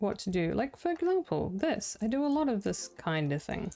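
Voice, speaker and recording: A woman with a New Zealand accent, fairly high and dark, mellow in tone, with very wide pitch swings at a moderate pace. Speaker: game streamer. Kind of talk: casual live-stream commentary. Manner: quiet and chill; halting.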